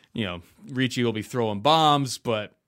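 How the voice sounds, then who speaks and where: An unremarkable speaking voice from a man, with ordinary pitch variation and a moderate pace. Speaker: podcast host and betting analyst. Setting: video call.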